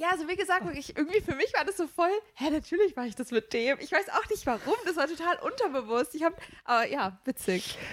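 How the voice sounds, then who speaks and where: A woman speaks at an extremely high pitch and a very fast pace. Her voice makes very wide pitch swings. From Rhineland, Germany. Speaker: trainee teacher. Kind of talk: casual chat.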